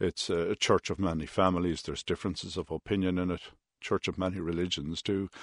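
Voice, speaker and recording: Against a quiet background, someone speaks very fast in a monotone, flat delivery with an Irish Midlands accent. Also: man, very deep, low pitch for a man, dry, close sound with no echo. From Ireland, Roscommon town. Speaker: industrial relations mediator. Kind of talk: radio interview.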